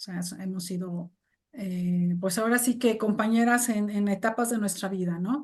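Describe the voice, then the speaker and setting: Somewhat breathy and lively in intonation, the voice moves at a fairly quick pace. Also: woman. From Mexico. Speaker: English teacher and translator. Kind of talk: interview conversation. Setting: video call.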